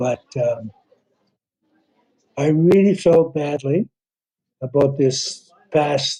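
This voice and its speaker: This man has a Canadian accent and a fairly high pitch with ordinary pitch variation. His tone is dark and mellow, and somewhat breathy. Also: dry, close sound with no echo. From Northern Ontario, Canada. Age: 80s+. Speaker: former hockey general manager. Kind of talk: interview.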